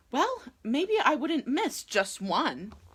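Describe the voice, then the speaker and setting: Her pitch is high, and it swings very widely. The woman is doing a put-on character voice. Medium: game stream. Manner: self-centered, dramatic.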